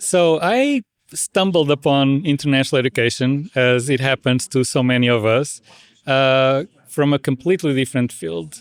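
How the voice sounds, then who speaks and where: Recorded very cleanly against a silent background with a dry, close sound and no echo, a man with a fairly high pitch talks at a moderate pace with ordinary pitch variation. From Portugal. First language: Portuguese. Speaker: international education administrator. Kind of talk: interview. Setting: podcast. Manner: halting.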